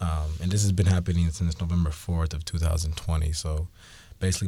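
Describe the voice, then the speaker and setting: A man with an American accent, very deep and low in pitch, somewhat breathy, dark and mellow in tone, flat and monotone, at a fairly quick pace, on a very clean recording with a silent background. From Seattle, US Pacific Northwest. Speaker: school IT technology specialist. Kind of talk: interview. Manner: halting, many fillers.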